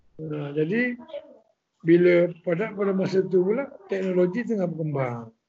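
Speaking at a fairly slow pace, a man uses a high voice and lively intonation. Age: middle-aged. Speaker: songwriter. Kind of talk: casual chat.

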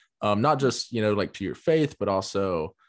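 In a dry, close sound with no echo and a quiet background, a man with a Southern US accent talks at a fairly low pitch with lively intonation. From US South. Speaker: podcast host. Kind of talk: casual interview. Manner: hesitant, many fillers.

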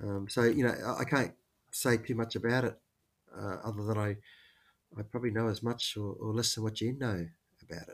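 In a very clean recording with a silent background, a man with an Australian accent speaks at medium pitch and a fairly quick pace, with fairly even intonation and long, frequent pauses. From Queensland, Australia. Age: 50s. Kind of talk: interview conversation.

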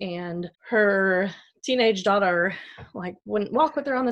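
Her pitch medium and varying an ordinary amount, a woman speaks in an ordinary speaking voice. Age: 30s. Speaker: nurse. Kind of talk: testimony.

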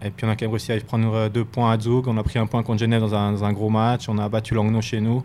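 This man speaks very fast with hardly any pauses, at a medium pitch. His intonation is monotone and flat, and his loudness stays very even. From Switzerland, Fribourg. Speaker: professional ice hockey player. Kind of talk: interview. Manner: halting, with many repetitions.

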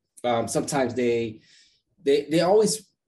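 The voice belongs to a man. His tone is dark, mellow and somewhat breathy. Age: 30s. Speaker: podcast host, sales development strategist. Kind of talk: casual interview chat. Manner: hesitant with frequent fillers.

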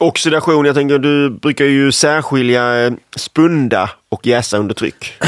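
A man with an ordinary speaking voice and a fairly high pitch talks at a fairly slow pace with ordinary pitch variation, in a dry, close sound with no echo. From Skåne, Sweden. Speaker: home brewing podcast co-host. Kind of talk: casual chat.

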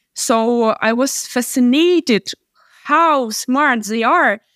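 The recording is very clean, with a silent background and a dry, close sound with no echo. A woman speaks with a high pitch and ordinary pitch variation. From Ukraine. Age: 20s. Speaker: startup operations consultant. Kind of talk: interview. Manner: halting, many fillers.

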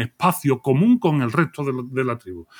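In a dry, close sound with no echo, a man with an unremarkable speaking voice and fairly high pitch talks at a moderate pace with lively intonation. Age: 40s. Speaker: philosopher. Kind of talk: casual chat.

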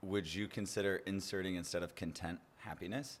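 A man talks at a moderate pace in a very clean recording with a silent background. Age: 20s. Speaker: podcast host. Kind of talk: casual chat. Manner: animated.

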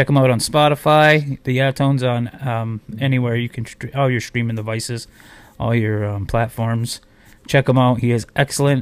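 With an ordinary speaking voice, a man talks at a medium pitch and moderate pace using fairly even intonation. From Akwesasne, Canadian border. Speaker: internet radio host and smoothie business owner. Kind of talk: casual interview chat. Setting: online video platform interview.

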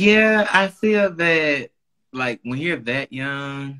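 A bright, sharp tone with lively intonation. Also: man. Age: 30s. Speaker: podcast guest. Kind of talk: casual chat.

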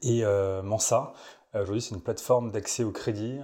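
Fairly even intonation over a dark, mellow tone. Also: man. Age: 20s. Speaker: startup executive, former founder. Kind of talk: interview. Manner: casual, hesitant with fillers.

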